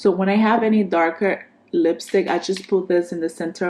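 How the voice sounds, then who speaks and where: Here a woman is speaking. Her pitch varies in an ordinary way. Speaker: beauty vlogger. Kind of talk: casual product review. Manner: animated.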